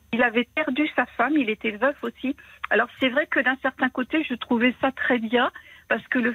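A woman's high-pitched voice holds a moderate pace and fairly even intonation. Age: 50s. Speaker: widowed caller. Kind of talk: personal testimony on the phone. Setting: phone call.

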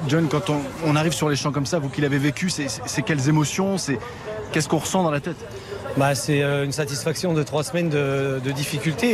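A fairly high-pitched male voice with fairly even intonation, audible room echo and noticeable background noise. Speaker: field reporter. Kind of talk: live reporting. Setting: outdoors by team bus, crowd.

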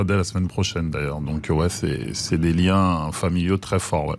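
Noticeable noise sits in the background. Over it, the intonation holds fairly even. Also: man. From France, Cameroonian family. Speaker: actor and comedian. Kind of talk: radio interview. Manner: halting.

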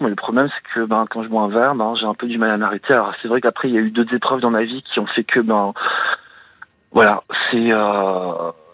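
A man at a medium pitch talks at a fairly quick pace. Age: 40s. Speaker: caller to a radio advice show. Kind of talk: personal confession on call-in radio. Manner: halting, many hesitations.

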